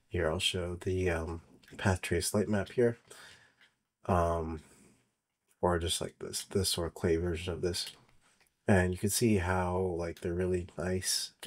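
A man's fairly slow, monotone delivery with flat intonation and long, frequent pauses. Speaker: software developer presenting his tool. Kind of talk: tutorial. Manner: filler-heavy, hesitant.

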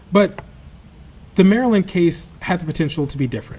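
A somewhat breathy male voice at a fairly quick pace, with ordinary pitch variation. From South Alabama. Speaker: journalist and author; journalist. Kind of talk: lecture; Q&A answers. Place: hall. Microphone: podium.

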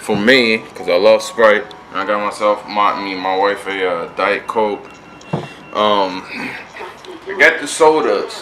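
A man speaks at a very slow pace with long, frequent pauses. Noticeable background noise sits behind him. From Connecticut. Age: 20s. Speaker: vlogger. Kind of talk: casual vlog talk to camera. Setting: road trip, motel and car. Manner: animated. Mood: happy, relieved.

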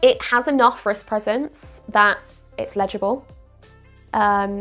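Over music in the background, a woman with a fairly high pitch speaks at a fairly slow pace with ordinary pitch variation. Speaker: watch reviewer. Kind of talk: casual talk to camera.

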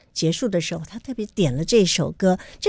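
Against a quiet background, a woman speaks with lively intonation in a dry sound with no echo. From Taiwan. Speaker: radio host. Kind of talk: interview. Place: studio. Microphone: studio mic.

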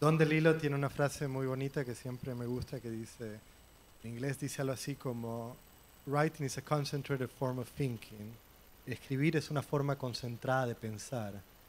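A man keeps fairly even intonation against light background noise. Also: moderate pace. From Puerto Rico. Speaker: novelist. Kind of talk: literary panel discussion. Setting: library event with audience. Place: hall.

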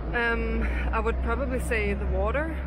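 A woman speaks at a moderate pace in a Danish accent. The sound is dry with no echo, though noticeable background noise is present. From Denmark, Copenhagen. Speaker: local interviewee. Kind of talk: street interview. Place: street. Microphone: phone near.

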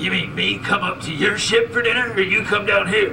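Over loud background noise, a man puts on a character voice at a high pitch and a fairly quick pace. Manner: folksy, suspicious.

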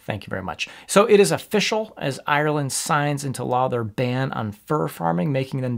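Behind the man, all is quiet. His pitch leaps up and down very widely. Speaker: animal rights commentator. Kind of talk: commentary. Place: home room.

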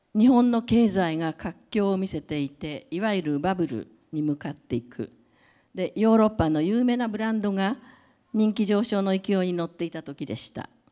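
A woman speaks with a dark, mellow tone and lively intonation at a moderate pace. The background is quiet. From Japan. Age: 70s. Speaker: creative director and brand advisor; speaker. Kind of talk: lecture; public talk. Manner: halting, many fillers. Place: hall. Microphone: handheld.

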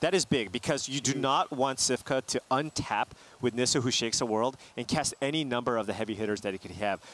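A man's medium-pitched voice at a very fast pace, with ordinary pitch variation and a dry, close sound with no echo. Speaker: esports commentator. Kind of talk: live esports commentary, analysis. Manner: analytical, conversational, explaining strategy.

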